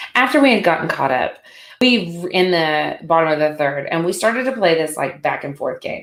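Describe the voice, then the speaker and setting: An animated tone with very wide pitch swings, in a Southern US accent. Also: woman. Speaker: sports podcast host. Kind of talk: solo sports commentary podcast.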